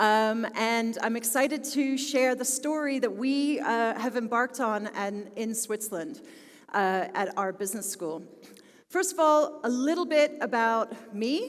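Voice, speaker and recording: Speaking in a Philadelphia accent, a woman talks at a fairly slow pace with a fairly high pitch and lively intonation, with audible room echo. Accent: American, Philadelphia. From US, Philadelphia. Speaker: business school technology executive. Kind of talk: conference talk.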